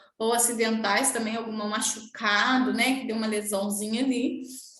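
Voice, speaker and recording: A woman with fairly high pitch, fairly even intonation, and moderate pace, amid noticeable background noise and audible room echo. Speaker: nursing teacher. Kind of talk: lecture.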